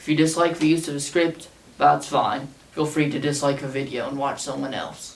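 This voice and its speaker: A man talks at a moderate pace in a monotone, flat intonation. The room echo is audible and background noise is noticeable. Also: fairly high pitch for a man. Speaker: small YouTuber, show commentator. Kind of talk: scripted video essay read aloud. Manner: read from a script.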